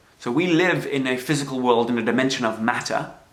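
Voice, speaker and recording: This man's voice sits at a fairly high pitch, with audible room echo around it. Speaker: self-help speaker. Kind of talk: livestream talk. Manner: hesitant fillers.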